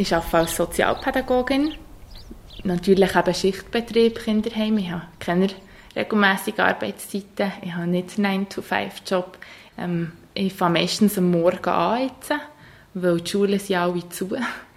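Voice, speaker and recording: A woman with an ordinary speaking voice, medium in pitch, moderately paced, with ordinary pitch variation. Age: 20s. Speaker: social worker in a children's home. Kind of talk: interview. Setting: indoors with open windows.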